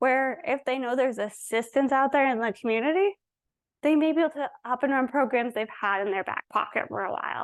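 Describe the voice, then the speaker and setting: A woman speaks at a fairly quick pace with a high pitch and lively intonation. The background is quiet. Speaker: presenter, staff attorney. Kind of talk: conference workshop presentation. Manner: fast.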